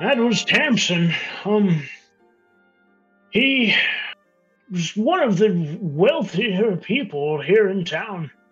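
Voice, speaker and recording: A put-on character voice at a middle pitch moves at a very slow pace. Faint music plays in the background. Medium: actual play. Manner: rambling, hesitant.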